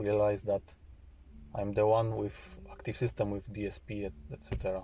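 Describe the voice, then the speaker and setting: Speaking at a moderate pace, a man with a non-native accent has a fairly low pitch and a dark, mellow tone that is somewhat breathy. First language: not English. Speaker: car audio hobbyist. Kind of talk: video walkaround of own car system. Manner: halting, many repeated words.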